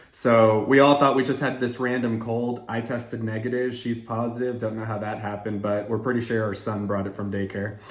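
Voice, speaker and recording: The speech has fairly even intonation, with audible room echo around it. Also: man. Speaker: job candidate and sales career content creator. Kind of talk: casual chat to camera, then job interview.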